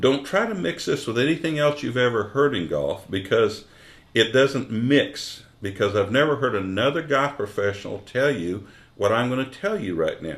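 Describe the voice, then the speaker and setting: A man's medium-pitched voice with vocal fry, very wide pitch swings, and a moderate pace. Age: 60s. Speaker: golf instructor. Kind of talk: tutorial. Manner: animated.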